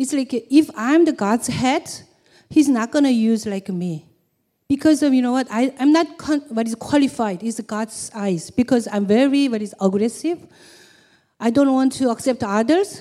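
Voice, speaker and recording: A woman's high-pitched voice, dark and mellow in tone, with lively intonation at a moderate pace. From South Korea. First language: Korean. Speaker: church member. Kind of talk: testimony. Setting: stage with audience. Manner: halting.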